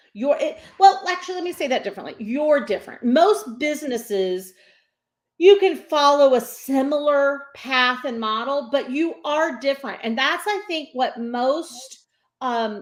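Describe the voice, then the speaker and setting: The voice is loud and animated in tone, with very wide pitch swings. The pace is moderate. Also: woman, very clean recording, silent background. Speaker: business coach and speaker. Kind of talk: interview.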